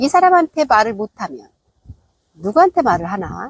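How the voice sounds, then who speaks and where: A woman's voice makes very wide pitch swings in a dry, close recording with no echo. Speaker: vlogger. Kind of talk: casual vlog monologue. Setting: outdoors.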